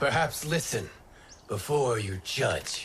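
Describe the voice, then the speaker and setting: A man's raspy, put-on character voice. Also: medium pitch for a man, fairly slow pace. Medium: video game. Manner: calm, measured.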